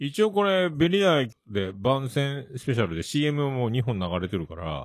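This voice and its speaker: Speaking fairly slowly, a man uses a medium pitch with very wide pitch swings. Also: big swings in loudness. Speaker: podcast host. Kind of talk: casual chat.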